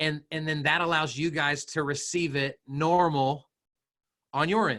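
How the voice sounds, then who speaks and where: The voice is loud, with a bright, sharp tone. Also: man. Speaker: social media trainer for realtors. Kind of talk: webinar presentation. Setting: video call. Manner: animated.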